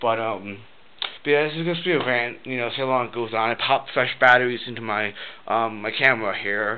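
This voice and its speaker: Noticeable background noise behind a fairly quick pace and ordinary pitch variation. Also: man, medium pitch for a man. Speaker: vlogger. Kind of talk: casual rant to camera. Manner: rambling with many fillers, halting.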